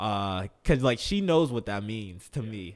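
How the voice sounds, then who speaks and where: Captured in a very clean recording with a silent background, a man has an ordinary speaking voice, medium in pitch, with lively intonation at a fairly slow pace. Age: 20s. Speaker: professional athlete. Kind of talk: casual interview.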